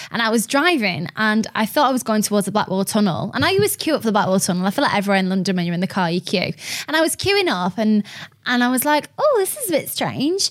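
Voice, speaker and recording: The speech comes at a very fast pace with a Lancashire accent. Pitch swings very widely throughout. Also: woman, fairly high pitch for a woman. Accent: Lancashire northern English. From Lancashire, northern England. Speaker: radio host. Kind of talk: casual chat interview. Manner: chatty, animated, friendly.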